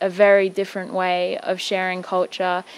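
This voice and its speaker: A woman with an Australian accent speaks at a moderate pace in monotone, flat intonation on a very clean recording with a silent background. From Cairns, Queensland, Australia. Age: 20s. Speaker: fashion designer and curator. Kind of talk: interview.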